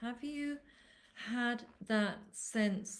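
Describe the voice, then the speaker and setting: A woman with an English accent. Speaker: animal communicator. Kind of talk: live webinar talk. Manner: loud.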